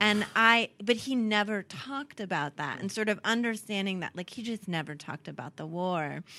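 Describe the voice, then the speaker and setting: A woman with a plain, everyday voice and an American accent speaks at a medium pitch and moderate pace with hardly any pauses and big swings in loudness, on a very clean recording with a silent background. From US, Southern California (San Diego area). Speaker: costume designer. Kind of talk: interview conversation.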